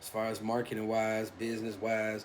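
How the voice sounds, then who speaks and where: The voice carries an American accent. Noticeable background noise runs underneath. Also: man. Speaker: streamer and aspiring podcaster. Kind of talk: casual monologue vlog. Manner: halting, repetitive fillers.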